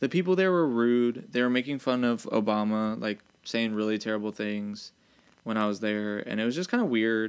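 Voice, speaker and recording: A man has a normal speaking voice at medium pitch, talking at a moderate pace with ordinary pitch variation over a quiet background. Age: 20s. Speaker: podcast co-host. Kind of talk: casual chat.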